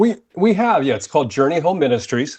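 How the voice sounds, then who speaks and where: With an American accent, a man speaks in a lively intonation. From United States. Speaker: ministry leader. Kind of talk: casual interview. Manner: animated.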